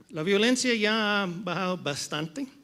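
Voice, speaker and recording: High-pitched and bright with a sharp tone, a man speaks very slowly in an English-speaking accent, using ordinary pitch variation. His voice is raised and projected. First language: English (speaking Spanish). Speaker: panel moderator, economic consultant. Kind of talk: conference panel talk. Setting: stage with audience. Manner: halting, switching between English and Spanish.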